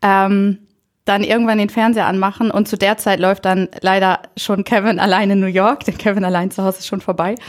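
On a very clean recording with a silent background, a woman speaks with monotone, flat intonation. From northern Germany, Friesland (Bockhorn). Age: 20s. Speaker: trainee primary school teacher, volunteer. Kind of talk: casual interview.

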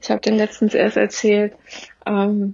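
The woman speaks at a moderate pace and medium pitch. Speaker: trauma therapist. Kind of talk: interview.

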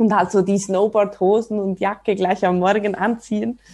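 A woman's medium-pitched voice with a Swiss accent, a dark, mellow tone and monotone, flat intonation. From Switzerland, ski resort region. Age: 30s. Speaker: snowboarder and mother. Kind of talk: casual interview.

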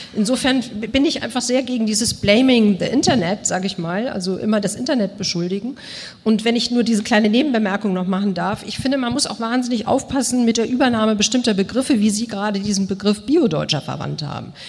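Over noticeable background noise, a woman with a fairly high pitch and ordinary pitch variation speaks at a very fast pace with hardly any pauses. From Germany (Bonn) and Moscow. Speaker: journalist. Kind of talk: panel discussion.

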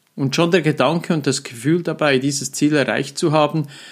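In a very clean recording with a silent background, a man with a plain, everyday voice and fairly high pitch speaks at a moderate pace. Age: 50s. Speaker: mental trainer and coach, podcast host. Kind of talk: solo podcast monologue. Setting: studio with professional microphone. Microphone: professional microphone.

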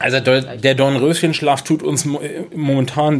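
Amid noticeable background noise, a man of medium pitch speaks at a very slow pace with fairly even intonation. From northern Germany, Schleswig-Holstein (Kropp near Schleswig). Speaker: city marketing manager. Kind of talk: interview. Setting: at the guest's table.

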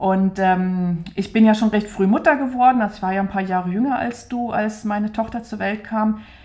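A somewhat breathy woman's voice with hardly any pauses and fairly even intonation. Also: fairly high pitch for a woman, moderate pace. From Saxony, Dresden (East Germany). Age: 40s. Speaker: doll maker and podcast co-host. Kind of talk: casual conversation. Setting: home studio in an apartment.

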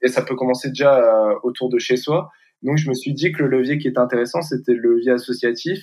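In a plain, everyday voice, a man talks at a medium pitch and a fairly quick pace with fairly even intonation. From northern France, near Valenciennes. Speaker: student, association founder. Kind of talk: interview.

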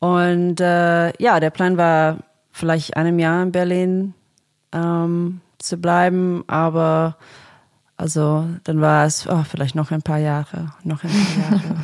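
A woman speaks very slowly in a fairly low voice with a monotone, flat intonation, on a very clean recording with a silent background. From Australia, Sydney suburbs. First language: English (speaking German). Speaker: singer-songwriter and producer. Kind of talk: casual interview. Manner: halting, many fillers.

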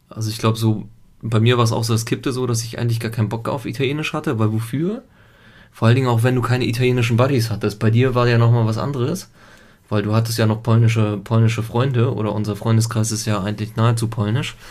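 Somewhat breathy and very fast, the speech keeps a fairly even intonation over audible room echo. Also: man, medium pitch for a man. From Italy until age 7, then Germany. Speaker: podcast co-host, father. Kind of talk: casual chat.

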